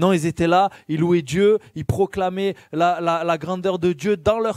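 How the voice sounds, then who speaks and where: A man speaks with a high pitch and ordinary pitch variation at a moderate pace. The recording is dry and close, without any echo. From southern France, Marseille. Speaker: lay preacher. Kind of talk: sermon. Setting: church. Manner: hesitant, frequent fillers.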